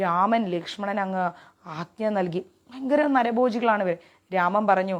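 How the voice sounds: Pitch shifts by an ordinary amount in this natural reading voice.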